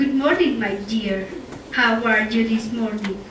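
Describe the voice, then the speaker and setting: A female-sounding voice puts on a character voice at a fairly slow pace. Clear background noise and a slight echo are present. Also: fairly high pitch for a woman. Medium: stage play. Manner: smooth, falsely friendly.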